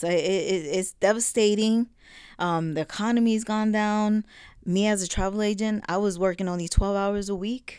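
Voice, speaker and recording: At a moderate pace, a plain, everyday voice with an American accent comes through on a very clean recording with a silent background. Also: woman. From New Jersey, Passaic. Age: 50s. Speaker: family member interviewee. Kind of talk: casual interview.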